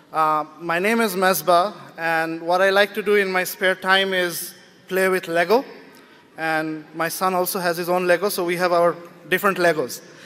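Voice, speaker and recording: A loud man's voice, high for a man, flat and monotone at a moderate pace. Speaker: writer and speaker. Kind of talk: public talk. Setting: stage with audience.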